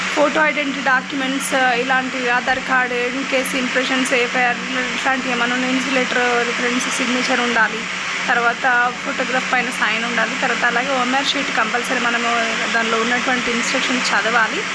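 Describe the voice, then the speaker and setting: With noticeable background noise behind her, a woman speaks at a high pitch in a flat monotone, her loudness very even. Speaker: voice-over artist. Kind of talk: casual explainer talk to camera.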